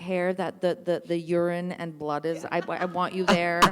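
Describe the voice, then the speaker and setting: A woman with a non-native accent speaks at a moderate pace and a medium pitch. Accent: foreign. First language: not English. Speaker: actor. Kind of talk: post-show talkback. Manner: halting, many fillers and restarts.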